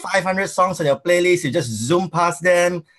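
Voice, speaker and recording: In a Singaporean accent, a man talks at a fairly quick pace with a high pitch. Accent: Singaporean English (Singlish). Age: 40s. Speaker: tech company founder. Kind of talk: interview. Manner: hesitant, many fillers.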